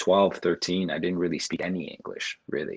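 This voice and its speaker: A man speaks in a very deep, low pitch. The background is quiet. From Montreal, Canada. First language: Russian. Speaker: figure skater. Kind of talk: interview. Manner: halting.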